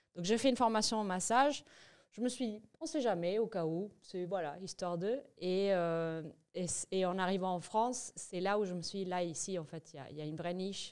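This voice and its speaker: Big swings in loudness mark this woman's medium-pitched voice, which has ordinary pitch variation in a very clean recording with a silent background. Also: moderate pace. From Venezuela (Caracas). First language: Spanish (speaking French). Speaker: entrepreneur, massage business founder. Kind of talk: podcast interview. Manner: hesitant, many fillers and restarts.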